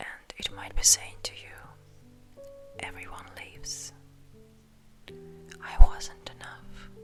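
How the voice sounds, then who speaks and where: A woman whispers in a gentle tone at a very slow pace, with long, frequent pauses and big swings in loudness. Music plays in the background. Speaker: ASMR creator. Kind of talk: ASMR personal attention comfort talk, sleep aid. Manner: soft, gentle, slow, reassuring.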